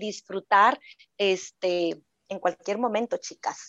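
A woman talks very slowly, her intonation fairly even and her pitch in the middle range. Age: 40s. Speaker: sexologist. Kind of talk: casual chat.

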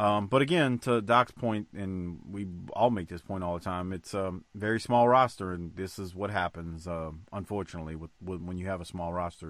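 A man's very deep, low voice, relaxed in tone, at a fairly quick pace, with ordinary pitch variation and big swings in loudness. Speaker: podcast host. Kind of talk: casual podcast chat recapping wrestling episode. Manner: profane, relaxed banter.

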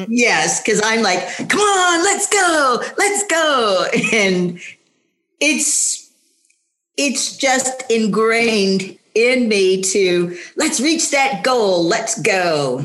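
In a room with audible echo, a woman talks at a very slow pace with very wide pitch swings and very even loudness. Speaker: senior track athlete. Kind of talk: casual chat.

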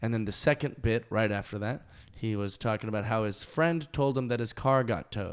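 With an American accent and an unremarkable speaking voice, a man talks at a fairly quick pace with ordinary pitch variation on a very clean recording with a silent background. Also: medium pitch for a man. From US Pacific Northwest (Kent, Washington). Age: 20s. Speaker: comedian. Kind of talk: casual chat. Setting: dining room.

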